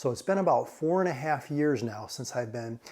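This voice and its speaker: In a very clean recording with a silent background, a man's words come at a fairly quick pace. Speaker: math tutor YouTuber. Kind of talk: casual chat. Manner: halting.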